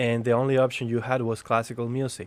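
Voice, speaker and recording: Talking at a fairly quick pace, a man with a Spanish accent speaks at a medium pitch. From Spain. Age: 30s. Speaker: jazz pianist and educator. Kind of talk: casual chat.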